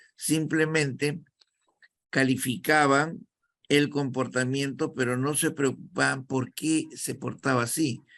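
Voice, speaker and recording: In a Peruvian accent, a man with a fairly high pitch speaks at a very slow pace, his intonation fairly even. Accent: Peruvian Spanish (Lima). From Peru, Callao. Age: 70s. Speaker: actor and acting teacher. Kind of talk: interview.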